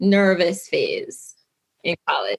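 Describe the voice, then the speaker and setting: A woman speaks with a Jamaican accent at medium pitch. Her pace is fairly slow, and the background is quiet. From Jamaica, Kingston. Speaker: lawyer. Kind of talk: interview.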